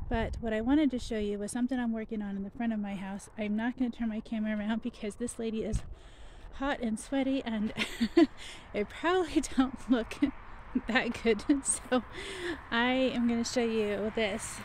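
Light background noise surrounds a woman talking at a moderate pace. Her intonation stays fairly even, and the sound is dry with no echo. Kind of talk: casual vlog chat. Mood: relaxed, laughing. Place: garden. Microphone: phone near.

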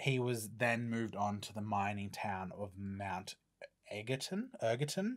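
Over a quiet background, a man with an Australian accent speaks at a fairly low pitch with ordinary pitch variation. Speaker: podcast host. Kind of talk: casual chat. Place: studio. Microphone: studio mic.

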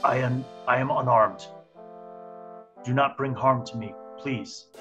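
A man's put-on character voice at a medium pitch and fairly slow pace, with faint music in the background. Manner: frightened, pleading. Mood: fearful, pleading.

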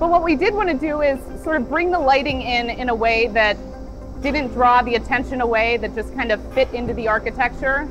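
Clear music plays in the background as a woman speaks at a fairly quick pace. Her pitch is high, with ordinary variation. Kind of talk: interview answer. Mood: calm, thoughtful. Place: factory. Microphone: lapel.

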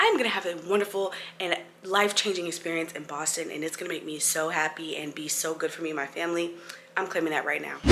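A woman talks at a very fast pace in a fairly low voice. Noticeable background noise runs behind her. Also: fairly even intonation. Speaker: flight attendant vlogger. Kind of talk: casual vlog chat. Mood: nervous but self-encouraging. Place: home room. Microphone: phone near.

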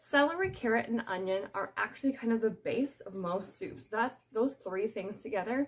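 A woman speaks at a moderate pace in a somewhat breathy voice. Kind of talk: cooking tutorial. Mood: friendly, chatty. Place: kitchen. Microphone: phone near.

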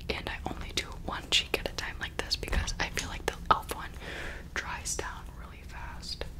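Whispering at a moderate pace, the speaker's loudness swings widely. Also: woman. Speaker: ASMR creator. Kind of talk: ASMR whisper ramble. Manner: whispered. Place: home room. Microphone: studio mic.

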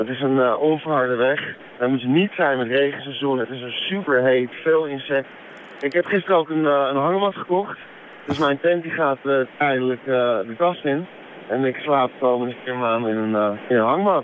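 A man mumbling in a fairly high pitch at a moderate pace, with ordinary pitch variation, a dry sound with no echo and light background noise. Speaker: cycling traveller. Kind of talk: radio phone interview answer. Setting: phone line. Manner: hesitant, mumbling. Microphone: phone line.

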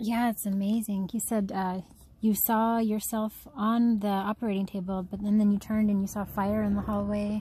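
At a moderate pace, a woman speaks in a somewhat breathy, dark, mellow tone with monotone, flat intonation and a dry sound with no echo. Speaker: adult child calling mother. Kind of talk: casual phone conversation.

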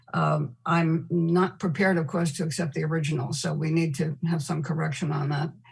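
A woman with a very deep, low pitch speaks in fairly even intonation, with vocal fry. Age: 70s. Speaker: former mayor and council member. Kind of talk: public remarks at a council meeting.

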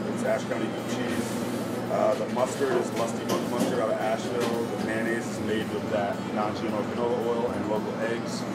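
The pace is moderate throughout. Music can be heard behind the speech. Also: man. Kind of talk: interview answer. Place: kitchen.

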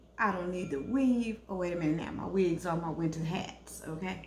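A woman's slightly mellow voice carries lively intonation.

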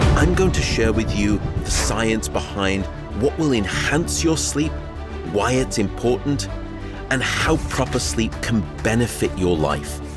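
Over clear background music, a man talks at a fairly slow pace in a dry sound with no echo. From Liverpool, England. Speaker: neuroscientist, sleep scientist. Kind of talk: online course trailer. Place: studio. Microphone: lapel.

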